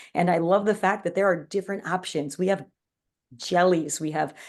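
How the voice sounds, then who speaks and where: Fairly quick speech comes from a woman with an unremarkable speaking voice and ordinary pitch variation. The background is quiet. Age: 40s. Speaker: wellness product presenter. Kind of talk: online presentation. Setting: live stream.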